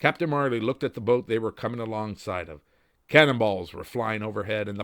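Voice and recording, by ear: A natural-voiced read-aloud passage and its ordinary pitch variation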